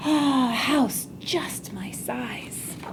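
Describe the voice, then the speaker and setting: A woman puts on a squeaky character voice over clear background noise. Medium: read story.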